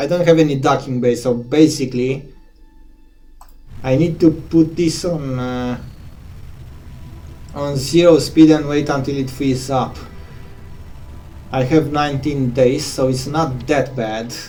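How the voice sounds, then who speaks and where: Over music in the background and with audible room echo, a man with a fairly high pitch talks at a fairly slow pace, using fairly even intonation and long, frequent pauses. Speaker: gaming streamer. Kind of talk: live gameplay commentary. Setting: home at night, 2:30 AM. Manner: talks loud when headphones are noisy.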